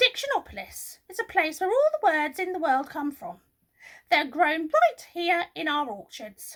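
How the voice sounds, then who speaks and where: In a put-on character voice, a woman speaks at a moderate pace with an extremely high pitch, very wide pitch swings and big swings in loudness. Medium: read story. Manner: officious, impatient.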